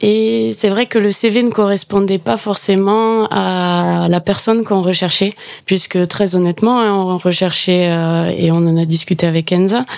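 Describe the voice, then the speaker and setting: With a southwestern French accent, this calm voice moves at a fairly slow pace, its loudness very even and its pitch varying an ordinary amount. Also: woman, medium pitch for a woman. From Gers, southwest France. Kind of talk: radio interview.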